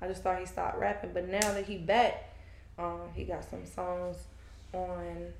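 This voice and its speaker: In a room with audible echo, a woman speaks at a fairly slow pace with long, frequent pauses. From US South, Fayetteville, North Carolina. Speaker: aspiring podcaster. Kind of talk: casual chat.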